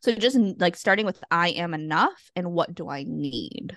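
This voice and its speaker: A woman with an American accent has a normal speaking voice and a fairly low pitch. She talks at a fairly slow pace with lively intonation over a quiet background. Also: dry, close sound with no echo. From US Northeast (Massachusetts). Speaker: therapist and coach. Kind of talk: casual chat.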